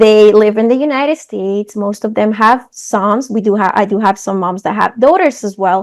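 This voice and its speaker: In a Spanish accent, a woman talks at a moderate pace with hardly any pauses, her fairly high pitch showing ordinary variation. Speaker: coach for mothers. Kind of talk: interview.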